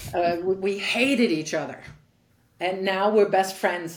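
A woman speaks with fairly even intonation, and audible room echo surrounds her voice. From Germany. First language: German. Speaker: tennis coach and former pro player. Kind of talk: interview.

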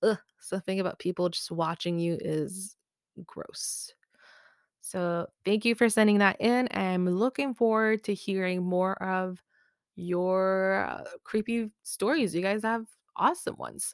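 An unremarkable speaking voice comes at a fairly slow pace with ordinary pitch variation, in a dry, close sound with no echo on a very clean recording with a silent background. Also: woman, medium pitch for a woman. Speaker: podcast host. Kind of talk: horror story narration, read aloud. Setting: home, makeshift room. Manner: hushed, suspenseful, measured pacing; slow, building dread.

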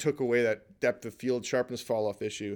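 A man with a Canadian accent, medium pitch, moderate pace and monotone, flat intonation, on a very clean recording with a silent background. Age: 40s. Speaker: artist and photographer. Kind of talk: casual chat.

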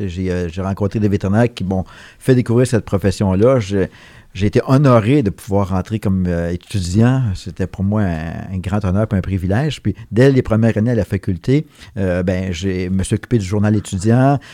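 A man with a fairly low pitch and a dark, mellow tone talks at a moderate pace with ordinary pitch variation, in a very clean recording with a silent background and a dry, close sound with no echo. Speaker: veterinarian. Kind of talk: interview.

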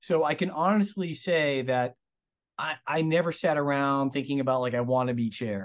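With an ordinary speaking voice, a man with an American accent talks at a moderate pace and a fairly high pitch, with ordinary pitch variation against a quiet background. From Massachusetts, Lawrence/Methuen area. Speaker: surgeon. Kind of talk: interview.

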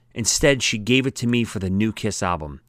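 A man talks with lively intonation, neither fast nor slow. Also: very clean recording, silent background. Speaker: audiobook author and narrator. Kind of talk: audiobook reading of memoir. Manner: warm, nostalgic storytelling; animated, conversational.

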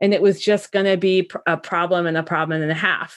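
A woman talks with an American accent in a confident tone. The recording is very clean, with a silent background. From US Midwest. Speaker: podcast host. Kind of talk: casual interview chat. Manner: outgoing, loud, confident.

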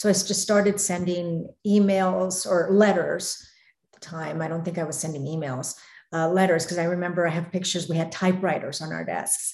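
A woman with an American accent talks fairly quickly in an ordinary speaking voice, with a fairly low pitch and fairly even intonation. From Arizona, US. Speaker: news reporter. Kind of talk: casual interview chat.

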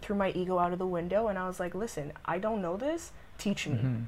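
There is ordinary pitch variation as a woman speaks in a medium pitch. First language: French. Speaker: jiu-jitsu athlete and pre-med student. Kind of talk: casual interview.

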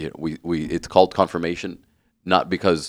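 A man with a very deep, low pitch talks at a fairly quick pace. The recording is very clean and dry, close with no echo, over a silent background. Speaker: co-host, parish staff member. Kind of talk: casual chat about faith and sports.

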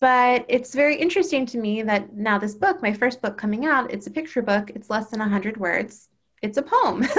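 A woman with an American accent speaks in a normal speaking voice at a fairly high pitch and moderate pace, with lively intonation. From Baltimore, Maryland, US. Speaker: children's book author. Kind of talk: casual interview. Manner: frequent laughter.

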